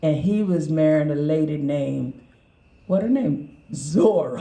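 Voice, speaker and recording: With an American accent, the speaker talks at a fairly slow pace over noticeable background noise. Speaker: author and historian. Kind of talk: interview. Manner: animated.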